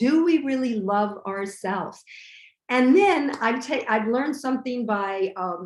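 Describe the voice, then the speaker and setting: A woman with a normal speaking voice talks at a fairly slow pace, her fairly high pitch carrying lively intonation. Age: 60s. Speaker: vegan chef and restaurateur. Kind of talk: casual interview chat.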